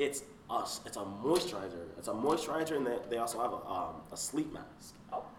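A fairly high-pitched man with an American accent, fairly quick, with very wide pitch swings, audible room echo and noticeable background noise. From South Florida. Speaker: student. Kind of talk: casual chat.

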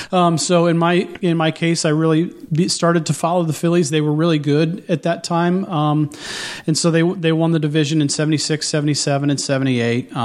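With a Midwestern American accent, a man speaks at a fairly high pitch with fairly even intonation. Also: moderate pace, very even loudness. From southwest Ohio. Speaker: author. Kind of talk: radio interview. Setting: studio.

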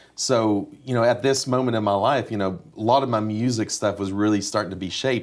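The speech moves at a fairly quick pace with fairly even intonation. The recording is very clean, with a silent background. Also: man. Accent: East Tennessee. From East Tennessee (Kingsport). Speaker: session musician. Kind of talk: interview.

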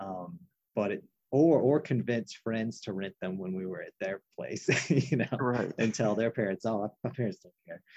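Dark and mellow in tone, a man speaks at a medium pitch and moderate pace with lively intonation, the sound dry and close with no echo. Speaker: guest, horror film fan, academic advisor. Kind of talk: casual chat.

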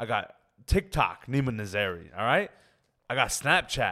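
Moderate pace, ordinary pitch variation, a man with a Toronto accent, and a very clean recording with a silent background. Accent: Toronto Canadian English. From Canada, Scarborough (Toronto). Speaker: comedian. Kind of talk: casual chat.

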